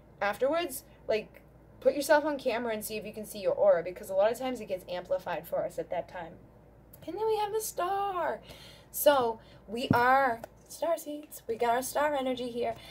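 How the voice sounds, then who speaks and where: Through noticeable background noise, a high-pitched woman talks at a fairly quick pace with very wide pitch swings and big swings in loudness. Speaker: tarot reader. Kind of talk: tarot reading energy update. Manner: fast; animated.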